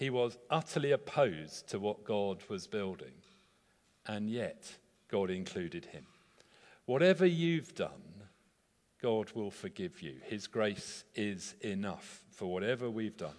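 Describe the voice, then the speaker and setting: A man speaks fairly slowly in a fairly low pitch. His pitch swings very widely. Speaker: pastor. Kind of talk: sermon. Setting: church.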